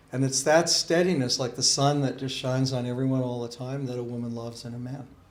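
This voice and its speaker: A man talks at a very fast pace with a medium pitch. The room echo is audible. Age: 60s. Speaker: Sikh spiritual teacher. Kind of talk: interview. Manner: animated.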